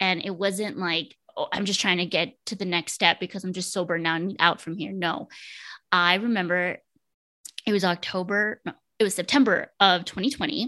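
A woman's bright, sharp voice at a medium pitch with ordinary pitch variation, over a quiet background. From Texas border, Laredo. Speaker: therapist and mental health coach. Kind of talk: casual interview.

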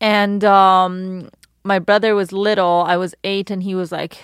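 In a monotone with flat intonation, the woman talks at a medium pitch. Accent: Persian. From Iran. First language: Persian. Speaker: model and activist. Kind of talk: casual interview chat.

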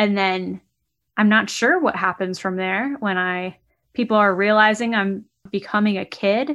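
Over a quiet background, a woman with a normal speaking voice talks at a medium pitch and a fairly slow pace, using ordinary pitch variation. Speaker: podcast co-host. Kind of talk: casual chat.

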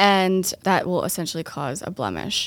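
A woman's unremarkable speaking voice with an American accent, medium in pitch with fairly even intonation, at a fairly slow pace in a very clean recording with a silent background. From Boston area, Massachusetts. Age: 20s. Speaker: esthetician and skincare business owner. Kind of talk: casual interview chat.

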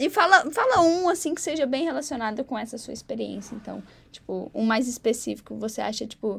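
A woman talks at a fairly quick pace and high pitch, with big swings in loudness. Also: lively intonation. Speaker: podcast host, university student. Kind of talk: casual interview chat; scripted intro and outro.

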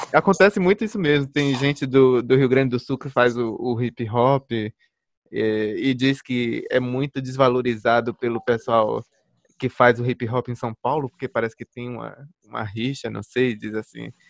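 An unremarkable speaking voice comes from a man at a medium pitch, with ordinary pitch variation and a moderate pace. The sound is dry and close with no echo, over a quiet background. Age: 20s. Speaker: music podcast host. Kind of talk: casual chat.

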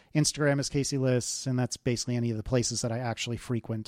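Very fast speech from a man comes through in a dry, close sound with no echo. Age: 40s. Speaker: app developer and podcaster. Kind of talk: casual interview.

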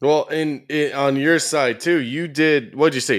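In a very clean recording with a silent background, a man with an ordinary speaking voice talks at a moderate pace in a fairly high pitch. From Ontario, Canada. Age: 20s. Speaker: YouTube commentator. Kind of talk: casual chat.

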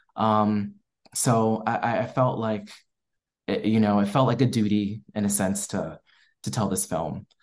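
This man has a normal speaking voice, an American accent and a fairly low pitch. He talks at a moderate pace with fairly even intonation against a quiet background. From US East Coast, Maryland. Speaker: filmmaker. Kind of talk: interview.

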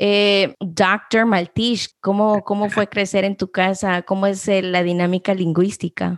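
A woman speaks at a medium pitch and a very slow pace, with hardly any pauses. Her intonation is monotone and flat, and the background is quiet. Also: dry, close sound with no echo. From Guatemala-born, raised in US. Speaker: podcast host. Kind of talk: interview.

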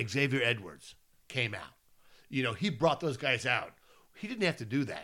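A man speaks loudly at a moderate pace, his medium-pitched voice animated with a bright, sharp tone. The recording is very clean, with a silent background. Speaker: baseball podcast co-host. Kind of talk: casual chat.

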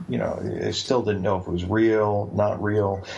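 Noticeable background noise sits behind a man with a southern New England accent. His voice is fairly low and his pace fairly quick. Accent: southern New England American. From Bridgeport, Connecticut. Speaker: author. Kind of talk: interview.

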